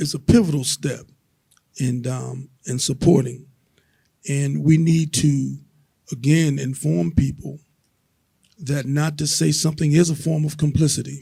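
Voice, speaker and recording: A man speaks at a fairly high pitch in a dark, mellow, somewhat breathy tone with ordinary pitch variation. His pace is fairly slow, with long, frequent pauses. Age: 70s. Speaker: panelist. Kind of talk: panel discussion.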